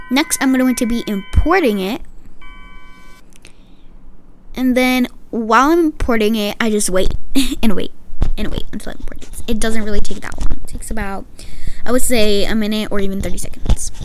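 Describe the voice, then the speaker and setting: There is light background noise as a woman talks at a moderate pace with ordinary pitch variation. She leaves long, frequent pauses. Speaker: vlogger. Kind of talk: tutorial.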